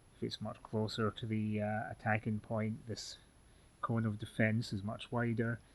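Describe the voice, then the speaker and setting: Speaking at a moderate pace, a man with a Scottish accent keeps a monotone, flat intonation. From Scotland. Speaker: fencing instructor. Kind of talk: tutorial. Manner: halting, many fillers.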